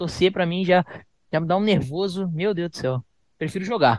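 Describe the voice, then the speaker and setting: A man at a very fast pace with ordinary pitch variation, dry and close with no echo over a quiet background. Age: 20s. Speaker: professional esports player. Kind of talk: casual interview.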